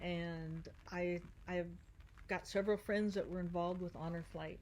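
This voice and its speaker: Her pitch fairly low, a woman speaks at a moderate pace with monotone, flat intonation. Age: 60s. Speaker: Marine Corps veteran and paddleboarder. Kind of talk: interview.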